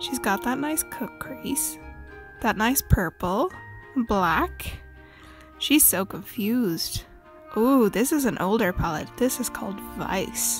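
Over music in the background, a woman talks at a very slow pace with long, frequent pauses. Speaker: beauty vlogger's friend doing voiceover. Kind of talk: casual voiceover commentary on makeup tutorial.

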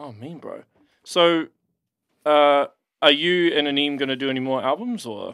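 Talking at a moderate pace in a New Zealand accent, a man with a fairly high pitch and ordinary pitch variation leaves long, frequent pauses, his loudness swinging widely, in a dry recording with no echo and a quiet background. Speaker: podcast host. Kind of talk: casual interview chat. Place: studio. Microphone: studio mic.

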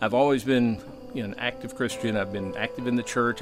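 A man talking at a fairly quick pace over clear background music. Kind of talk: interview answer. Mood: reflective, sincere.

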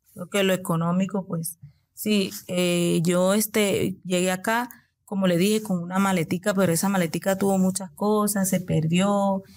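A woman's medium-pitched, monotone voice at a fairly slow pace, on a very clean recording with a silent background. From Venezuela, Coro, Falcón state. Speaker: nail technician and entrepreneur. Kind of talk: interview.

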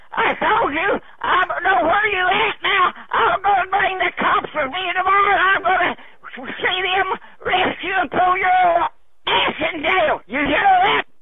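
The speech moves at a fairly slow pace. Loud background noise sits under a dry sound with no echo. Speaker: caller. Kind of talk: angry phone rant. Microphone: phone line.

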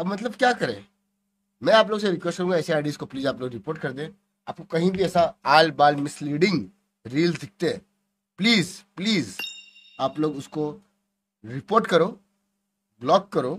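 A man's high voice at a moderate pace, lively in intonation, broken by long, frequent pauses, over light background noise. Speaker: content creator. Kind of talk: casual vlog chat. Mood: earnest, pleading. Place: home room.

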